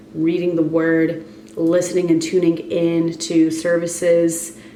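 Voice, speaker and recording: Amid noticeable background noise and audible room echo, a woman speaks very slowly at a fairly low pitch. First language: Spanish. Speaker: wellness and fitness coach vlogger. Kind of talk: casual vlog monologue.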